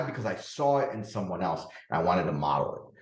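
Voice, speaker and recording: With audible room echo, a man speaks in an animated tone, his pitch swinging very widely, with vocal fry. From Dominican Republic, raised in the Bronx, New York. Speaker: podcast host, parenting and productivity coach. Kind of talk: solo podcast talk.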